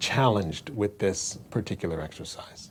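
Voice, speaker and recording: A man talks at a moderate pace in an ordinary speaking voice. His pitch sits fairly low. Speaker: bass guitar teacher. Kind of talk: tutorial.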